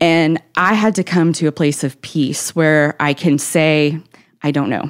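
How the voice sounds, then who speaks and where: A woman with a Southern US accent and a fairly low pitch speaks at a moderate pace. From Tennessee, Nashville area. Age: 30s. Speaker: author. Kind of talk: interview. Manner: energetic.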